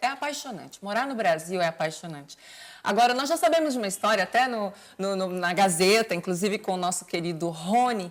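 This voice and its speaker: A woman's medium-pitched, fairly quick delivery with lively intonation, an unremarkable speaking voice. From Brazil, Bahia. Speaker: TV host. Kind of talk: interview.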